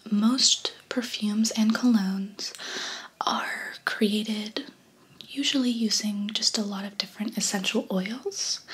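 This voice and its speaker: The voice is soft-spoken, with monotone, flat intonation and a fairly slow pace. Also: woman. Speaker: perfume consultant roleplay host. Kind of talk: soft-spoken roleplay chat. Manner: soft-spoken, close ASMR voice. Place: home room.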